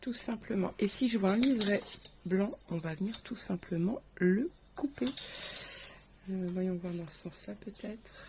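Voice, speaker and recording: Somewhat breathy, with a dark, mellow tone, a woman of medium pitch and ordinary pitch variation speaks at a fairly slow pace, with long, frequent pauses and big swings in loudness. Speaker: craft tutorial creator. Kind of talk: tutorial. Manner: soft-spoken.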